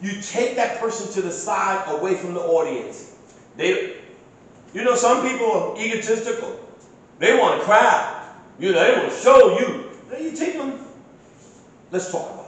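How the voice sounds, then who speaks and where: A man with a New York accent speaks at a moderate pace with long, frequent pauses and big swings in loudness. Audible room echo and noticeable background noise are present. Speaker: emergency response trainer and security officer. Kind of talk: training class.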